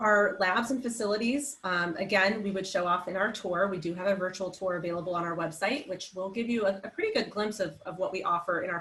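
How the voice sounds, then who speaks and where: Over noticeable background noise, a woman speaks fairly quickly at a medium pitch with ordinary pitch variation. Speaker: academic advisor. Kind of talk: information session presentation. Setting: virtual online session. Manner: fast.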